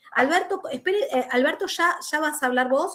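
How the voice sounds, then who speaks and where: A woman's pitch swings very widely as she talks at a moderate tempo. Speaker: law professor. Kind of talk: online lecture. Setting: video call.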